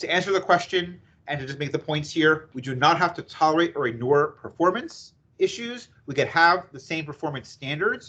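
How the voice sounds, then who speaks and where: This man has a fairly high pitch and an American accent. He talks at a fairly quick pace. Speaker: employment attorney presenter. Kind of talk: webinar presentation. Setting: video call webinar. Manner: fast.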